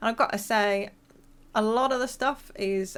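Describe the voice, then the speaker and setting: This woman speaks with a British accent at a fairly high pitch. Her intonation stays fairly even. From England, near countryside. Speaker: gaming YouTuber. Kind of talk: casual voice-over commentary. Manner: casual, hesitant with fillers.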